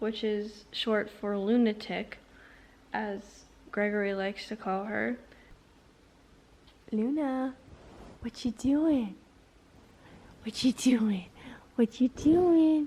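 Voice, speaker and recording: The voice is dark, mellow and somewhat breathy, moving at a very slow pace with long, frequent pauses and ordinary pitch variation. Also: woman, fairly high pitch for a woman. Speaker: book vlogger. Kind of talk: casual vlog. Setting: at boyfriend's house, sitting on floor.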